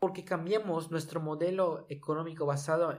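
At a moderate pace, a man uses an unremarkable speaking voice, fairly high in pitch, with fairly even intonation. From Mexico, Yucatán. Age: 20s. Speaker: podcast host. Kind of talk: solo podcast monologue on environmental topic.

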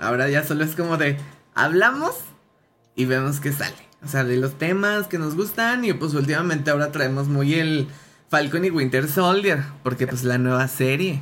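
The speaker has a Mexican accent, ordinary pitch variation and a moderate pace. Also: man, fairly high pitch for a man. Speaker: podcast host. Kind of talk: casual chat. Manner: animated.

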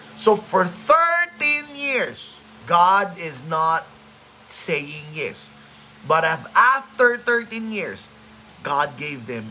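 In a raised, projected voice, a man speaks very slowly at a high pitch, with very wide pitch swings and big swings in loudness, amid audible room echo and noticeable background noise. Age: 30s. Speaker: pastor. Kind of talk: sermon; casual chat.

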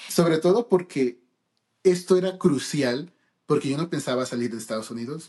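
The speaker has a plain, everyday voice, talking at a fairly quick pace with ordinary pitch variation. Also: man. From United States (born in Peru). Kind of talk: casual chat.

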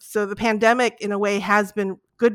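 A woman's monotone, flat delivery, dry and close with no echo, on a very clean recording with a silent background. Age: 50s. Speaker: sociology professor and K-pop scholar. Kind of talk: interview.

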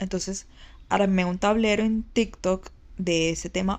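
The background is quiet behind a woman of medium pitch. She has an unremarkable speaking voice and fairly even intonation. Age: 20s. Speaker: image consultant and podcaster. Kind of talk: personal monologue. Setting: lying in bed recording at home. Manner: casual, conversational.

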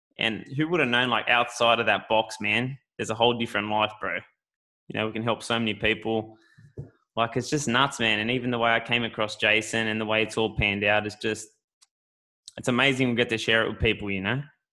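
Talking at a very fast pace, a man with an Australian accent uses a bright, sharp tone at a medium pitch with fairly even intonation, on a very clean recording with a silent background. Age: 20s. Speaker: podcast host, gym owner. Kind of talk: casual chat.

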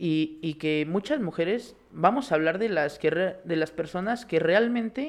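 Against a quiet background, a man with a high-pitched voice speaks at a fairly slow pace. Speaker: sports podcast co-host. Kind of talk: casual sports chat.

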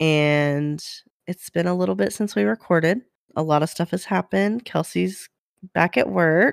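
A woman talks at a moderate pace in a very deep, low pitch. The sound is dry and close, with no echo. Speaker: podcast co-host. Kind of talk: casual chat. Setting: remote audio call. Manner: chatty, filler-heavy.

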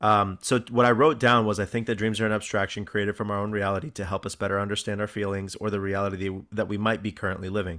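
Very fast, with hardly any pauses, a man's fairly low pitch with a bright, sharp tone and fairly even intonation. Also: very clean recording, silent background. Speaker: podcast host; teacher. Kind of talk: casual chat.

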